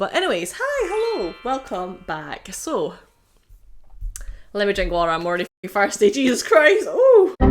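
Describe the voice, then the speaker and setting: Over music in the background, a woman's voice swings very widely in pitch at a moderate pace. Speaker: YouTuber. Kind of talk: casual vlog commentary. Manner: animated.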